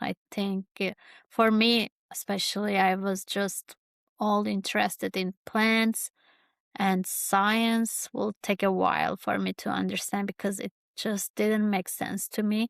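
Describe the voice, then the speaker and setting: In a very clean recording with a silent background and a dry, close sound with no echo, a woman with a Kurdish accent speaks at a medium pitch and a fairly slow pace, her intonation monotone and flat. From Turkey, Kurdish farming family. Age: 30s. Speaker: YouTuber, podcast host. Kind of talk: personal reflective monologue. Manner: halting, many fillers.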